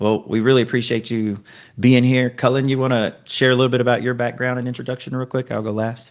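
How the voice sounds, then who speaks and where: A man with an unremarkable speaking voice talks at a fairly quick pace, medium pitch and fairly even intonation, on a very clean recording with a silent background. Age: 40s. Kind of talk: casual chat.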